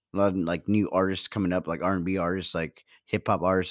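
On a very clean recording with a silent background and a dry, close sound with no echo, a man speaks very fast in a very deep, low pitch. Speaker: podcast co-host.

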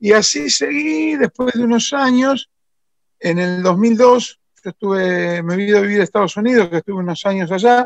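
In a Rosario accent, a man talks at a moderate pace and high pitch with ordinary pitch variation. The sound is dry and close, with no echo. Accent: Argentine Spanish (Rosario). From Argentina, Rosario. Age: 60s. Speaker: motorcycle restorer. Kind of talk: interview.

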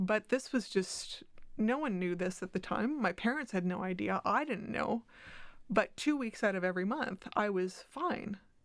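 A woman's normal speaking voice at medium pitch and moderate pace, with lively intonation. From diplomatic family, moved between countries (Canada, US, Mexico and others). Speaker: head of communications at a children's charity. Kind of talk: interview. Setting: studio.

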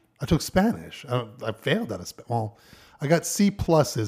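A man speaks at a fairly quick pace with a somewhat breathy voice and lively intonation, on a very clean recording with a silent background. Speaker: podcast co-host. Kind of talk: casual chat. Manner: nervous-sounding on recordings.

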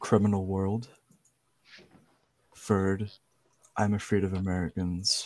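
With an Irish accent, a man speaks very slowly in a fairly low, monotone, flat voice, leaving long, frequent pauses. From Ireland. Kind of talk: casual chat.

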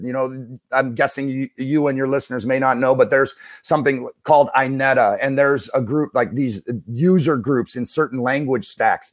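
On a very clean recording with a silent background, a man with a plain, everyday voice speaks at a fairly high pitch and a moderate pace. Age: 40s. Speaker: former college basketball coach, IT consulting business owner. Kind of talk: podcast interview.

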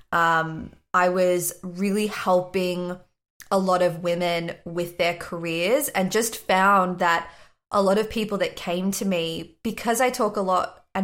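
Ordinary pitch variation in a woman's medium-pitched voice. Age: 20s. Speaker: career astrologer and spiritual business coach. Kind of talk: casual interview chat.

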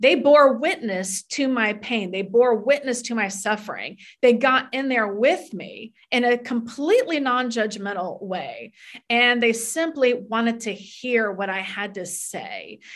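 Speaking with an American accent, this plain, everyday voice moves at a fairly slow pace with ordinary pitch variation. Its loudness swings widely. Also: woman, fairly high pitch for a woman. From North Florida, US South. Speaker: author. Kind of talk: interview testimony.

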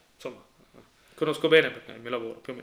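This man's voice sits at a fairly high pitch with a bright, sharp tone. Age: 30s. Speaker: podcast co-host. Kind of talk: casual chat. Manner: halting, repeats words.

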